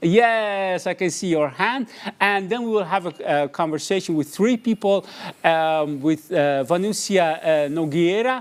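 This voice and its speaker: In a very clean recording with a silent background, a man with a high pitch speaks at a fairly slow pace. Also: ordinary pitch variation. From Iran. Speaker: journalist and event moderator. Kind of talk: live event moderation. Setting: studio, livestream. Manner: halting, many fillers.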